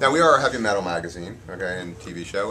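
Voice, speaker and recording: With lively intonation, a man talks as clearly audible noise fills the background. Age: 40s. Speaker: interviewer, metal show host. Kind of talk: casual interview. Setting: horror convention.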